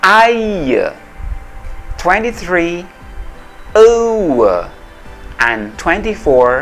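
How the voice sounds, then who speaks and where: With music in the background, a man speaks in an Indonesian accent at a very slow pace, leaving long, frequent pauses. His high pitch swings very widely. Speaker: English pronunciation lecturer. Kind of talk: pronunciation tutorial demo. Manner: slow, careful articulation.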